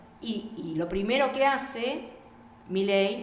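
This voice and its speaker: The recording has noticeable background noise and audible room echo. Through it, a woman speaks with ordinary pitch variation. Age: 60s. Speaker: feminist political activist. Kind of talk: radio interview.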